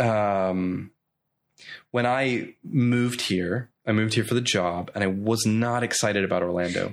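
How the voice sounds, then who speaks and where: A man with an American accent at a fairly slow pace, medium in pitch with lively intonation, against a quiet background. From Northern Ireland, Coleraine. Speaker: pastor. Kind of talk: casual chat. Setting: host's home.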